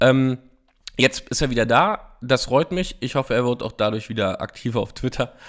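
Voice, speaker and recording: A man at a moderate pace, with a medium pitch and ordinary pitch variation. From eastern Germany, Frankfurt (Oder). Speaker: political podcaster. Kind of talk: solo political commentary. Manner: hesitant, many filler sounds.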